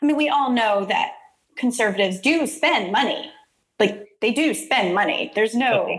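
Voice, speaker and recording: In an American accent, the voice moves through very wide pitch swings at a moderate pace. Its loudness stays very even. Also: woman, high pitch for a woman. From Texas, Houston area (Deer Park/Baytown). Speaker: podcast host, community development consultant. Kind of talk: casual interview chat.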